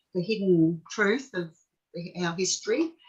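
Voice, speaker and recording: The accent is Australian. The speaker is a woman. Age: 60s. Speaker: forced adoption survivor. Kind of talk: interview. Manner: halting.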